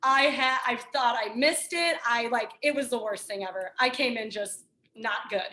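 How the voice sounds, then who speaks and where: Loud and energetic, a woman speaks at a moderate pace in a high pitch, her tone bright and sharp and her pitch varying in an ordinary way. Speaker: fitness trainer. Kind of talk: casual chat.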